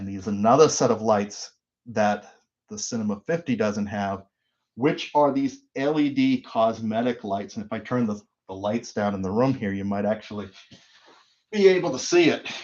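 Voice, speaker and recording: With an American accent, a man speaks at a moderate pace and medium pitch, with ordinary pitch variation. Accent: Boston, slight, comes out occasionally. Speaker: audio equipment reviewer. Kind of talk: live stream unboxing. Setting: live stream from home studio. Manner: casual, unscripted.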